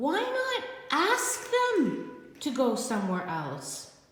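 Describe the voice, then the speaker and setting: A woman uses a put-on character voice, high-pitched and very slow. Strong echo surrounds her speech. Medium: read story. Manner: calm, cheerful.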